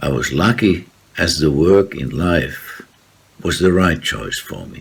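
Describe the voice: With a Finnish accent and lively intonation, the speaker goes at a fairly slow pace against noticeable background noise. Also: man.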